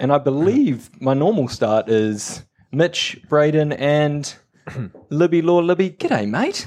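Fairly high-pitched man with lively intonation at a very slow pace. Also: very even loudness. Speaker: podcast co-host. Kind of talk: casual chat.

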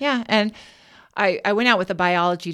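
In a very clean recording with a silent background, a woman with an American accent uses a normal speaking voice, ordinary pitch variation and a moderate pace. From Washington state (Kennewick). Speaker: teacher. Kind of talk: casual chat.

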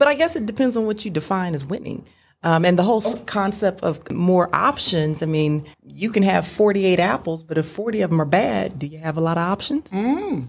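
In a very clean recording with a silent background, a woman with a somewhat breathy, medium-pitched voice speaks at a moderate pace, with lively intonation and hardly any pauses. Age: 40s. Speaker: dating podcast guest. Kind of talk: casual chat.

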